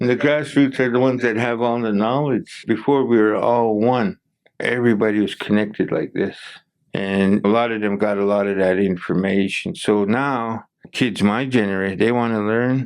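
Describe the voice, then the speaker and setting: A man uses an ordinary speaking voice at medium pitch, moving at a moderate pace with fairly even intonation. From Blackfoot community, Alberta, Canada. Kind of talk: podcast interview answer.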